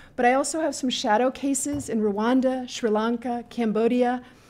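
Moderately paced, high-pitched speech from a woman, her pitch varying in an ordinary way. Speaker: conference speaker. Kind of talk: panel presentation. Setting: stage with audience. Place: hall. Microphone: podium.

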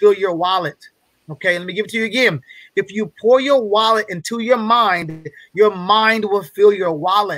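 With a quiet background and a dry sound free of echo, a man speaks in a bright, sharp, high-pitched tone with ordinary pitch variation. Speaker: guest speaker on a business masterclass. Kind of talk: motivational, casual. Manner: fast talker; fast talker, excitable. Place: home room. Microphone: video call.

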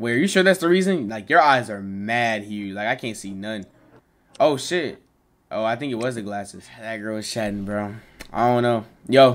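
Intonation rises and falls in a lively way. The man keeps a moderate pace. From Texas. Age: 20s. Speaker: streamer. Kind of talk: casual chat. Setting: video call. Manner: animated. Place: home room.

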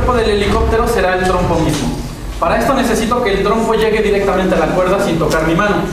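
A high-pitched man speaks at a very fast pace. Noticeable background noise and strong room echo fill the recording. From Mexico. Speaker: spinning-top performer. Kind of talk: live demonstration for schoolchildren. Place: hall.

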